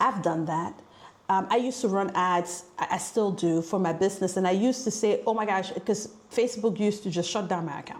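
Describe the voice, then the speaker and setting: The tone is animated, with ordinary pitch variation. The speaker has an African accent. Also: woman, medium pitch for a woman, fairly quick pace. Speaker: business coach. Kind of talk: motivational talk.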